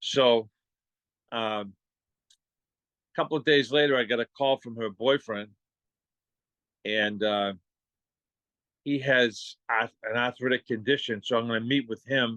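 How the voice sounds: Speaking at a fairly slow pace with long, frequent pauses, a man with a Boston accent has a medium pitch, ordinary pitch variation and a fairly bright tone in a dry, close sound with no echo.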